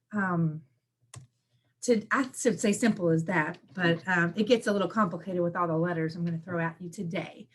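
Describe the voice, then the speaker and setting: This woman's fairly low voice is somewhat breathy and carries ordinary pitch variation. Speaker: benefits work incentive coordinator. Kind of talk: presentation. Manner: fast.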